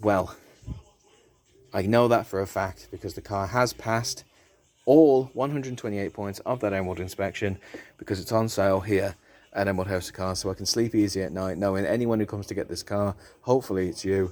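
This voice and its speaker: This man has a British accent and a fairly low pitch. He speaks at a fairly quick pace with ordinary pitch variation. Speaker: car dealer presenter. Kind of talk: sales pitch. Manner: animated.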